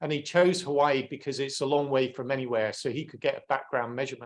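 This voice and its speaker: A man talks with an English accent. His pitch variation is ordinary. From England. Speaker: climate science speaker. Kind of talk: webinar presentation.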